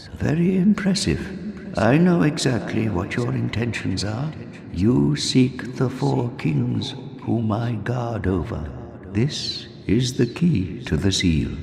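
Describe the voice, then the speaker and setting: A put-on character voice at a fairly slow pace over clear background noise. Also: man, medium pitch for a man. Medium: video game. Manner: dry, knowing.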